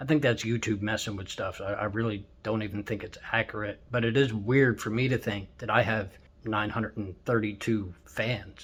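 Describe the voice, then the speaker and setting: A man's fairly low, somewhat breathy voice with fairly even intonation. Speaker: YouTuber and truck driver. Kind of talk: casual vlog. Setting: hotel room. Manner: fast; rambling.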